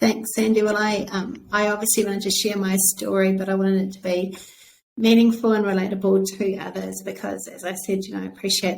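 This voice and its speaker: Speaking at a fairly quick pace, a woman with a New Zealand accent keeps a monotone, flat intonation. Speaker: author. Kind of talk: interview.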